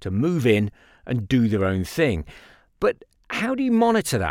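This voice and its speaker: On a very clean recording with a silent background, the voice swings very widely in pitch at a moderate pace, its sound dry and close with no echo. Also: man. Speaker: podcast host. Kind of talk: podcast with field interviews.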